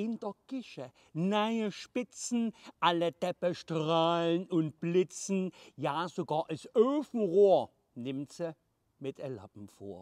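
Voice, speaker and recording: A man speaks at a very slow pace in a high pitch with very wide pitch swings and big swings in loudness. The sound is dry with no echo, and the background is quiet. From Leipzig, Saxony. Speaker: comedian. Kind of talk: dialect poetry reading. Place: garden. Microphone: phone near.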